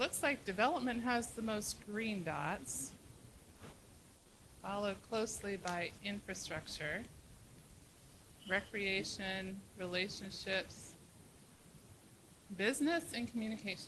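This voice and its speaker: Soft-spoken and fairly slow, the voice has lively intonation broken by long, frequent pauses. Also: woman, medium pitch for a woman. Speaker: retreat facilitator. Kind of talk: facilitated planning meeting.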